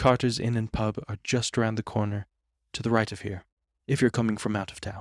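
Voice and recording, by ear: Fairly even intonation in a natural voice reading aloud, over a quiet background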